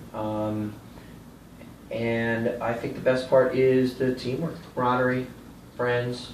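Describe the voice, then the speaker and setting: With an American accent, a man talks at a medium pitch and a very slow pace in a monotone, flat intonation. Audible room echo and noticeable background noise surround his voice. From Florida, Cocoa Beach. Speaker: soccer referee. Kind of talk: interview answers.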